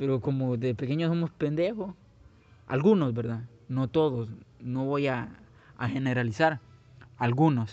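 Using a dark, mellow tone at a medium pitch, a man speaks at a fairly slow pace with ordinary pitch variation and long, frequent pauses. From Guatemala. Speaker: podcaster. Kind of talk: personal monologue. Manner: halting, many fillers.

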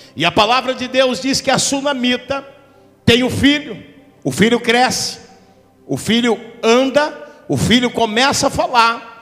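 Music plays behind a man with an extremely high pitch and an animated tone. He talks at a fairly slow pace with long, frequent pauses and ordinary pitch variation. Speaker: visiting preacher. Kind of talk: sermon with prophecy. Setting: church. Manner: animated, fervent, call-and-response.

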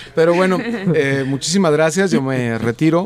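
A man with lively intonation at a fairly slow pace, a normal speaking voice. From Jalisco, Mexico. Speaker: festival organizer. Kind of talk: casual chat.

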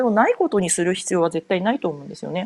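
Talking at a very fast pace, a woman uses a dark, mellow tone with very wide pitch swings in a dry, close sound with no echo. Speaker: podcaster, board game enthusiast. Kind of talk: solo podcast monologue. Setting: home. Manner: casual, many fillers.

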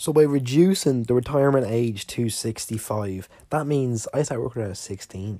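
In a very clean recording with a silent background, a man speaks with an Irish accent at a moderate pace. His medium pitch varies in an ordinary way, with a dark, mellow tone. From Ireland. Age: 20s. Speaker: podcast host. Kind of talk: casual solo monologue. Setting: sitting alone recording.

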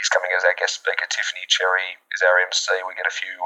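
A man with an Australian accent at a very fast pace, noticeable background noise behind him. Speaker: school alumnus. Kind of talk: interview. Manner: halting.

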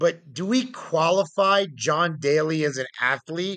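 A man speaks with an American accent in a dry, close sound with no echo. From upstate New York. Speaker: teacher. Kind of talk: casual chat.

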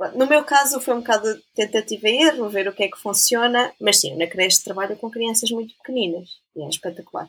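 The speaker has a normal speaking voice with ordinary pitch variation. The pace is fairly quick, with big swings in loudness. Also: woman, fairly high pitch for a woman. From Portugal, Trás-os-Montes. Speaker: science educator, biologist. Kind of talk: casual interview. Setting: video call.

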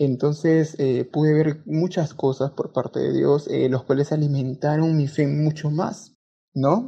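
Somewhat breathy, a man speaks fairly slowly with a fairly high pitch and fairly even intonation. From Peru, Lima. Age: young. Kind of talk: testimony.

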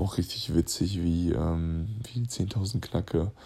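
Very deep and low, this man's voice has a dark, mellow tone and vocal fry. His intonation is lively. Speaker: basketball player and podcaster. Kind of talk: casual voice memo monologue. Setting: lying in bed at home.

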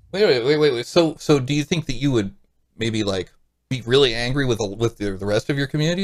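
A man with an American accent speaks at a very fast pace in a medium pitch. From US Midwest, St. Louis. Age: 40s. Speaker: podcast guest. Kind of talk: casual chat.

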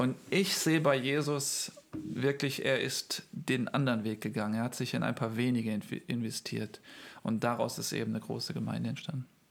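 Moderately paced, this man speaks at a medium pitch with vocal fry and ordinary pitch variation. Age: 30s. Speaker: pastor and church planter. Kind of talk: interview.

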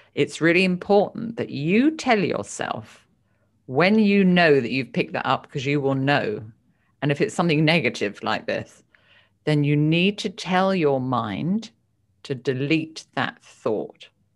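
A British-accented woman's very deep, low voice with very wide pitch swings and a fairly slow pace, on a very clean recording with a silent background. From United Kingdom. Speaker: psychotherapist and author. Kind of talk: interview.

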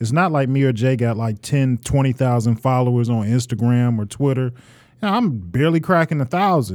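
Recorded very cleanly against a silent background, a man with a Detroit accent speaks at a fairly quick pace and medium pitch with ordinary pitch variation. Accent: Detroit urban American English. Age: 30s. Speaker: podcast co-host and former rapper. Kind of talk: casual chat. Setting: studio.

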